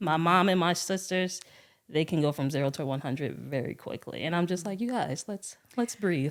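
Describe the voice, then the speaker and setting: A soft-spoken woman talks at a moderate pace, her fairly low voice carrying ordinary pitch variation. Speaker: podcast guest. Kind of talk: casual chat. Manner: calm.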